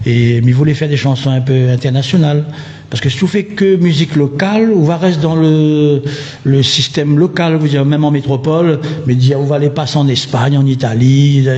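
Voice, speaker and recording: Through noticeable background noise, a man with a fairly high pitch talks at a fairly quick pace, keeping very even loudness and ordinary pitch variation. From Réunion. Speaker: singer. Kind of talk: radio interview. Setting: radio studio.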